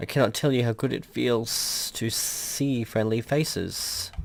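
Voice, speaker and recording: Someone uses a raspy put-on character voice at a fairly slow pace. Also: man, medium pitch for a man. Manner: unthreatening, friendly.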